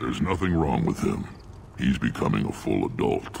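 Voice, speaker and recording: In a put-on character voice, a man talks at a moderate pace with a very deep, low pitch and very even loudness, with clear background noise behind him. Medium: video game. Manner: gruff, commanding.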